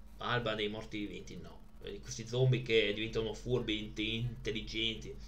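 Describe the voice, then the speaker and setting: A man talking at a moderate pace. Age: 30s. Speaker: streamer presenting his DVD collection. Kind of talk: casual live stream chat. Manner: halting.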